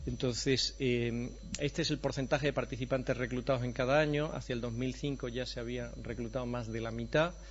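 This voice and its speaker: Someone talks at a moderate pace with audible room echo. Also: man. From Andalusia, Spain. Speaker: professor of preventive medicine. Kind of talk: conference lecture.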